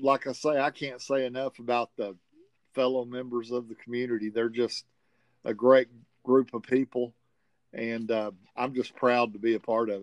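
Here a man speaks with a Southern US accent at a medium pitch, in a monotone, flat intonation. His delivery is fairly slow with long, frequent pauses, and the sound is dry and close with no echo. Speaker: tournament organizer, game champion. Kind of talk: interview, casual chat.

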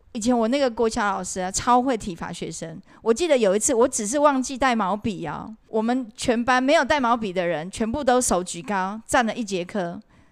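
In a plain, everyday voice pitched fairly high, a woman talks at a fairly quick pace with lively intonation and hardly any pauses, on a very clean recording with a silent background. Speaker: podcast co-host, former cram school English teacher. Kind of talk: casual chat.

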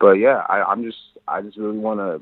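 A man talks at a fairly quick pace. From Toronto, Canada, Nigerian family. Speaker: musician. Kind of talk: interview. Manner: halting, many fillers.

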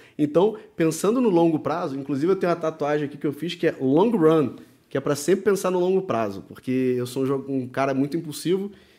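A man's fairly high-pitched voice with lively intonation, on a very clean recording against a silent background. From Brazil, Rio de Janeiro. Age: 30s. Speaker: professional poker player. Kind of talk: casual chat. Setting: studio.

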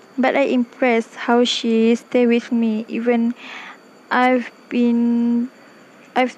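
Very slow, monotone delivery with flat intonation and very even loudness, long, frequent pauses, a Malaysian accent, and noticeable background noise. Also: woman. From Malaysia, Klang, Selangor. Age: 20s. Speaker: university student. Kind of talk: personal podcast monologue. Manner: halting.

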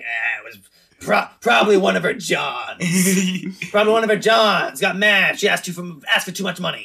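Putting on a gruff, gravelly character voice, a woman of medium pitch speaks at a moderate pace with lively intonation and big swings in loudness. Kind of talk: 1940s noir detective.

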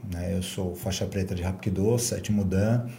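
A man speaks at a fairly slow pace with fairly even intonation and a dark, mellow tone. His voice is somewhat breathy, and there is audible room echo. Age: 50s. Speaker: martial arts and fitness instructor. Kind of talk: casual interview chat.

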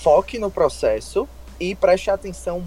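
A man speaks with music in the background. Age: 20s. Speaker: nutritionist in career change. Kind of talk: interview.

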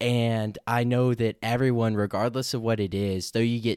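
In an unremarkable speaking voice, a man talks at medium pitch and a moderate pace with fairly even intonation, recorded dry and close with no echo on a very clean, silent background. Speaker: college golfer. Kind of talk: testimony.

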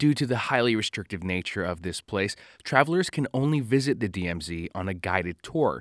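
A man with a fairly low pitch and a plain, everyday voice speaks at a moderate pace with lively intonation, the sound dry and close with no echo. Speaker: podcast host. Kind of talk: scripted travel/history documentary narration. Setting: studio podcast. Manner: measured, even, informative.

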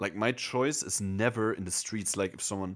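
A man with a German accent in a very clean recording with a silent background. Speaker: podcast co-host. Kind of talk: casual chat.

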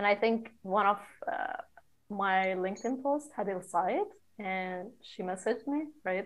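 A woman speaks at a fairly slow pace with a Persian accent, her pitch medium and its variation ordinary. Long, frequent pauses break up her speech. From Iran, Shiraz. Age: 20s. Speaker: podcast co-host, architect. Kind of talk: casual chat. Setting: remote call.

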